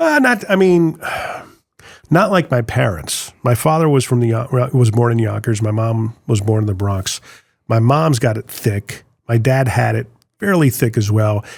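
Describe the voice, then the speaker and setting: In a very clean recording with a silent background, a man speaks with lively intonation and a somewhat breathy voice. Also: medium pitch for a man, moderate pace. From Connecticut, US Northeast. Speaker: musician and former radio host. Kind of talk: casual chat.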